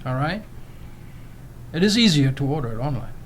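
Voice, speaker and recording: A man with a German accent talks in a somewhat breathy, fairly high voice, and the room echo is audible. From Germany. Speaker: immigrant storyteller. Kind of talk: casual interview chat. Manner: animated.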